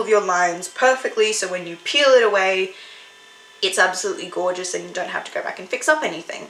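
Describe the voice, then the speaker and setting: A woman with a strong Australian accent, an animated tone, lively intonation and a moderate pace, with music in the background. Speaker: YouTuber and artist. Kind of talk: casual vlog narration. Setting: storeroom indoors. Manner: chatty, animated.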